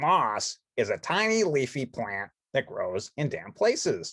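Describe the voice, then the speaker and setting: A man puts on a character voice at a fairly high pitch. He delivers it at a fairly slow pace. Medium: read story. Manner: earnest, explanatory.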